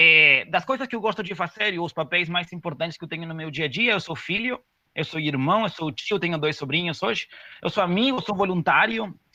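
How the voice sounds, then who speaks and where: Very fast delivery in a Spanish accent, with ordinary pitch variation. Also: man. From Uruguay. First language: Spanish (speaking Portuguese). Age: 30s. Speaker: corporate diversity manager. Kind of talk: webinar presentation. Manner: casual, hesitant with fillers.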